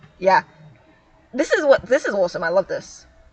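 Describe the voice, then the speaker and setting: Someone speaks with an American accent over noticeable background noise. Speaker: streamer. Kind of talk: casual chat. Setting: live stream. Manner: halting.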